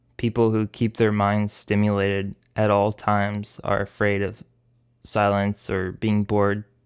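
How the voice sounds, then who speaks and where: A man's fairly low voice at a fairly slow pace, in a very clean recording with a silent background. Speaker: animator. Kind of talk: voice-over Q&A monologue. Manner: halting.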